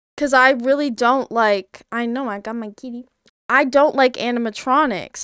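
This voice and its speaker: A woman speaks at a fairly slow pace with a high pitch and ordinary pitch variation. The sound is dry with no echo, the background quiet. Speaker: streamer. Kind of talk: casual stream chat. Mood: nervous, playful. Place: home room. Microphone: studio mic.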